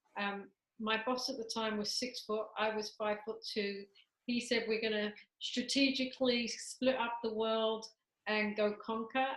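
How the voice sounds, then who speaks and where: Her fairly high voice moves at a fairly slow pace, the woman's intonation monotone and flat. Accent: British. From England, London. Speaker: talent management business leader. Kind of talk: interview.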